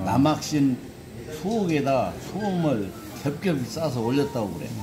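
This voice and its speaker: Clear music can be heard in the background. Over it, a man talks at a very slow pace. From South Jeolla, Korea. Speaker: elderly storyteller. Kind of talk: interview answer, recalling childhood stories. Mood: calm, reminiscent. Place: cafe. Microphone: phone near.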